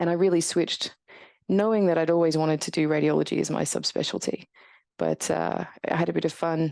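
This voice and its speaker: A woman with a strong Australian accent speaks at a fairly quick pace against a quiet background. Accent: very Australian. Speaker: radiologist and professor. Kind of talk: podcast interview.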